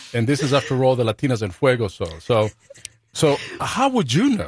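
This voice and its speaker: The sound is dry and close, with no echo. The voice comes across as somewhat breathy. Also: man. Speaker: radio show host. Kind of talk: casual banter on live radio show. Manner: halting, stuttering.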